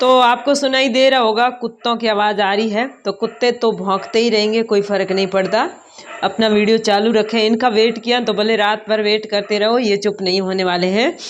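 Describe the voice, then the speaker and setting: Noticeable background noise sits behind a woman's fairly high voice. Her intonation is fairly even and her loudness very even. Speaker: vlogger and schoolteacher. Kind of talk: casual vlog. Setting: at home.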